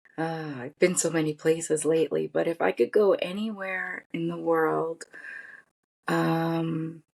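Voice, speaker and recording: A woman talks at a fairly slow pace, with a dry, close sound and no echo. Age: 50s. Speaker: podcast guest, pharmaceutical industry cytogeneticist. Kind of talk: interview conversation.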